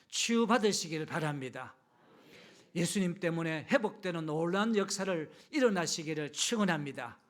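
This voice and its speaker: Speaking with a Gyeongsang accent, a man with a high pitch keeps a moderate pace and ordinary pitch variation. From Gyeongju, Gyeongsang region, South Korea. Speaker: pastor. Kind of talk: sermon. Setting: church service with congregation.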